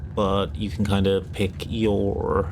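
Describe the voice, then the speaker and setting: A man is whispering. His voice is quiet. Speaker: streamer. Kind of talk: casual livestream talk about tabletop games. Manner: hushed, whispery.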